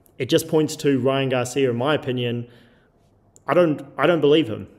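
This is a man with a normal speaking voice and a medium pitch. He talks at a moderate pace, his intonation fairly even. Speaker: combat sports show host. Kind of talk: casual debate.

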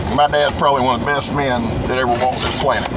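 A man talks at a fairly quick pace while loud background noise fills the clip. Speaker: knife reviewer. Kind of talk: casual vlog chat. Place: car. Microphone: phone near.

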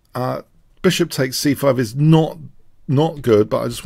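Against a quiet background, the voice comes at a fairly slow pace with a dry sound and no echo. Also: man. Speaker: chess commentator. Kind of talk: commentary.

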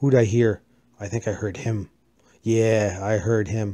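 A man speaking at a very slow pace in a dark, mellow tone. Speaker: gaming youtuber. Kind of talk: gameplay commentary. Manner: animated.

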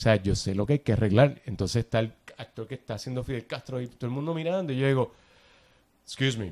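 This man talks at a very fast pace in a Puerto Rican accent. His pitch is medium, with ordinary variation. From Puerto Rico. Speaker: actor and film director. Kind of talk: interview conversation.

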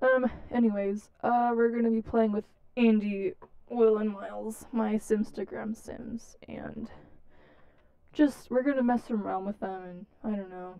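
This woman's tone is dark and mellow, clear and smooth, with vocal fry. She keeps a fairly even intonation at a fairly slow pace. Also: medium pitch for a woman.

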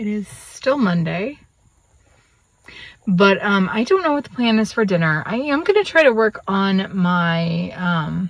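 A somewhat breathy woman speaks at a fairly slow pace, and the sound is dry with no echo. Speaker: vlogger. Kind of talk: casual vlog chat. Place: car. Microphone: phone near.

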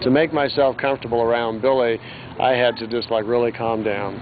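Music plays behind a man speaking with fairly even intonation. The sound is dry with no echo. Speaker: conference interviewee. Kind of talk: interview answer. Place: street.

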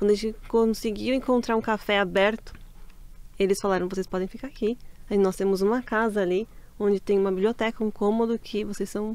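The speaker has a Brazilian accent and a fairly quick pace. The intonation is monotone and flat, with a dry sound and no echo. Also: woman. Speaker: Brazilian expatriate. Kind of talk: casual chat. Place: studio. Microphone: studio mic.

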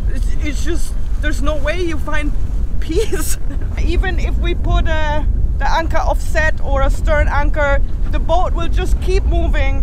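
A woman's voice, dry with no echo, against noticeable background noise. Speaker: sailing vlogger. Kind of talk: casual vlog chat. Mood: frustrated but cheerful. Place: boat. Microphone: phone near.

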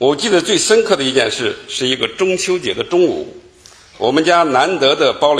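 The man's speech moves at a moderate pace. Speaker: lecturer giving formal address. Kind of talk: formal lecture, storytelling read aloud. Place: hall. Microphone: podium.

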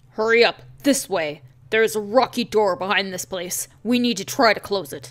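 Using a put-on character voice, a female-sounding speaker talks at a moderate pace with medium pitch for a woman. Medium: game stream. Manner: stern, measured, urgent.

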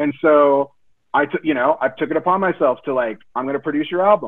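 Using an ordinary speaking voice, a man talks at a fairly quick pace with lively intonation. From Denver, Colorado (north side). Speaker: music business professor and musician. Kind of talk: panel discussion.

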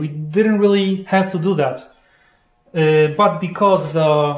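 A man with a high pitch and ordinary pitch variation speaks at a very slow pace in a room with audible echo. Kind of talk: casual explanation of costs. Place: workshop. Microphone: camera far.

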